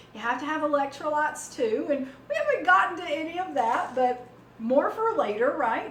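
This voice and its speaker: There is noticeable background noise and audible room echo. Through it, a woman talks in a Southern US accent. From US South. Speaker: cooking channel host. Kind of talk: cooking tutorial. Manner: casual, many fillers.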